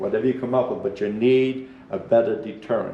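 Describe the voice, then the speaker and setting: A New England accent with audible room echo. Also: man. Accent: rural New England. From New Hampshire, Belknap County. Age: 70s. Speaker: public commenter, hunter. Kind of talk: public comment at meeting. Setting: public meeting at microphone. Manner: halting.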